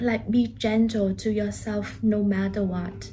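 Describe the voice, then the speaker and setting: Audible room echo surrounds a woman's voice. She sounds somewhat breathy, with a very deep, low pitch. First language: not English. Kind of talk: personal vlog update. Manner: hesitant, with fillers.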